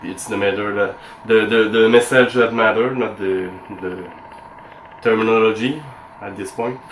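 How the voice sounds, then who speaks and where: A man with a non-native accent speaks at a fairly slow pace and medium pitch, with noticeable background noise. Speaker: antique sword collector. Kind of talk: tutorial demonstration to camera. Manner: hesitant, many fillers.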